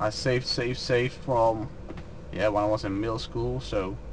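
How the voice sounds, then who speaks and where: A man with a Dutch accent speaks at a moderate pace in a medium pitch, his intonation fairly even, over noticeable background noise. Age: 20s. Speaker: truck driver. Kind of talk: Q&A vlog. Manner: unscripted, hesitant.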